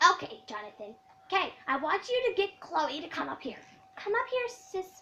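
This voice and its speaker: A woman uses a put-on character voice, squeaky and at an extremely high pitch. Her pitch swings very widely while her pace stays moderate. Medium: machinima. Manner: chirpy, sugary.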